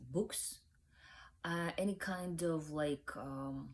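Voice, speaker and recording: A woman speaks with a Ukrainian accent at a very slow pace. Her pitch sits fairly low. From Ukraine. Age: young. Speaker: book reviewer. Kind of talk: casual vlog talk. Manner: halting, many fillers.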